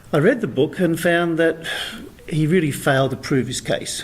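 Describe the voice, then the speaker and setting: There is noticeable background noise. A man talks with an Australian accent. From Australia, rural New South Wales. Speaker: author. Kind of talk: interview.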